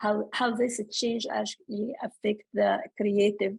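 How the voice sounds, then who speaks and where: Her voice somewhat breathy and fairly high, a woman talks at a very slow pace with fairly even intonation. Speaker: writer and scholar. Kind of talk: panel talk. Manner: halting, many fillers.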